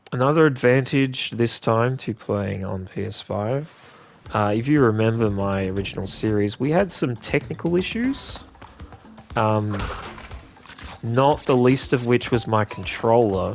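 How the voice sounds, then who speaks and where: A man with an Australian accent talks fairly slowly at a medium pitch, with ordinary pitch variation. Music plays in the background. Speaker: gaming video creator. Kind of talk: let's play commentary. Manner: calm; casual, hesitant fillers.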